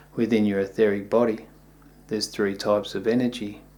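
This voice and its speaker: A man with an Australian accent, fairly low in pitch, monotone and flat, at a moderate pace. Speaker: yoga teacher. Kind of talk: video talk.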